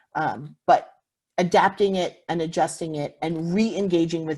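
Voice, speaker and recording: A dark, mellow tone with ordinary pitch variation on a very clean recording with a silent background. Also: woman. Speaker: visitor center manager. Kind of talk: conference presentation. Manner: fast.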